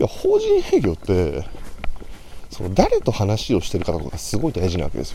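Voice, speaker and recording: Noticeable background noise runs under a man who talks at a moderate pace. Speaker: salesman podcaster. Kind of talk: solo casual monologue. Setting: outdoors, walking to station. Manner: somewhat quiet.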